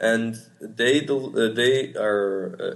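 With a Portuguese accent, a man speaks at a medium pitch with ordinary pitch variation. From Portugal. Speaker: startup co-founder, university student. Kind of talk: interview. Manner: halting.

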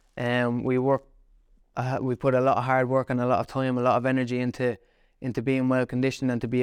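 Speaking with an Irish accent, a man goes at a very fast pace. His intonation is monotone and flat. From Ireland, County Kildare (Naas). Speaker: professional boxer. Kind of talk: casual interview.

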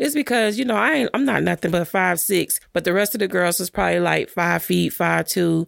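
A woman speaks at a fairly quick pace with an American accent. The sound is dry and close, with no echo. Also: hardly any pauses, very even loudness. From Miami, Florida (Carol City). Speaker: acting coach and casting director. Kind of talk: casual interview chat. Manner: animated.

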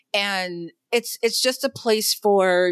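A woman with an unremarkable speaking voice talks at a medium pitch with ordinary pitch variation, in a very clean recording with a silent background. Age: middle-aged. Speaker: military veteran. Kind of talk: interview.

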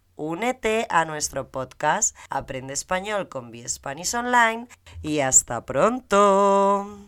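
A woman speaks with very wide pitch swings and big swings in loudness. The recording is very clean, with a silent background. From Spain. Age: 30s. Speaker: Spanish teacher. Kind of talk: scripted introduction.

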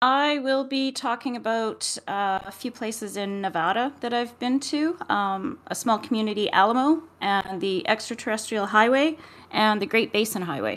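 A woman speaks in an ordinary speaking voice, fairly high in pitch, with ordinary pitch variation. Her pace is moderate, with hardly any pauses. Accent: Canadian. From Edmonton, Alberta, Canada. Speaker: motorcycle travel co-host. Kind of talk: casual chat.

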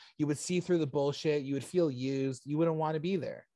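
This voice has a dark, mellow tone and ordinary pitch variation. It comes with a Canadian accent. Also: man. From Canada, Oshawa (Ontario). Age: 30s. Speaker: comedian. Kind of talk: casual chat.

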